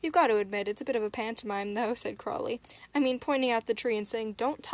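The speaker reads in a natural reading voice, and the pitch rises and falls in an ordinary way.

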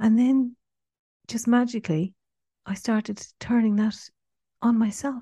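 Speaking fairly slowly with long, frequent pauses, a woman has a fairly high, somewhat breathy voice and fairly even intonation. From Ireland, Cork. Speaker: writer and trainee counsellor. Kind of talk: interview, personal testimony. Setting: remote call from Australia. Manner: hesitant, many fillers.

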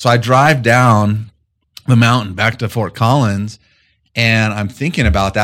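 Over a very clean recording with a silent background, a man speaks in a normal speaking voice with an American accent. His pitch is fairly low, with ordinary pitch variation at a moderate pace. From Colorado, rural eastern plains. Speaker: management consultant. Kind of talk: interview.

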